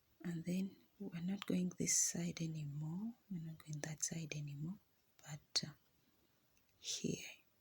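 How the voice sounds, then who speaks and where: A fairly slow, somewhat breathy voice with fairly even intonation and long, frequent pauses. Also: woman. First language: not English. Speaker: crochet instructor. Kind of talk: tutorial. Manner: halting.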